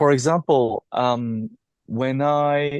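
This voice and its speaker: A man speaks with a Japanese accent and ordinary pitch variation. The sound is dry and close with no echo, against a quiet background. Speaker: teacher and storyteller. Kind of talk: interview conversation. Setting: podcast interview. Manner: halting, with frequent fillers and restarts.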